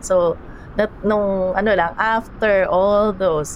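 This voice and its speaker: Speaking very slowly with fairly even intonation, a woman with a medium pitch comes through over noticeable background noise. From Philippines. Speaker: storyteller guest. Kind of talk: storytelling interview. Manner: halting.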